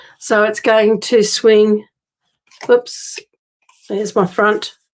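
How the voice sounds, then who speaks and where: A woman speaks very slowly. Her fairly high voice stays flat and monotone. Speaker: card-making crafter. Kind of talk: tutorial. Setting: live stream. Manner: casual, chatty.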